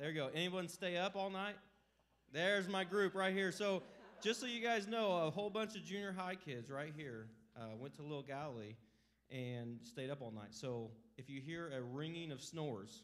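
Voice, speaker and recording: At a moderate pace, a man speaks with very wide pitch swings. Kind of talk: casual congregation greeting. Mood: joking, upbeat. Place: church. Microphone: handheld.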